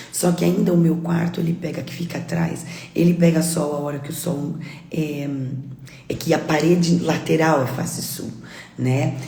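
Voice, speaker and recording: Speaking at a moderate pace with long, frequent pauses, a woman with a very deep, low pitch keeps a monotone, flat intonation over noticeable background noise and audible room echo. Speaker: real estate coach. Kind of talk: live stream chat. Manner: loud.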